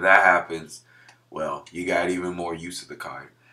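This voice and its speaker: There is noticeable background noise as a man speaks at a very deep, low pitch. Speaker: gaming youtuber. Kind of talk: casual commentary video.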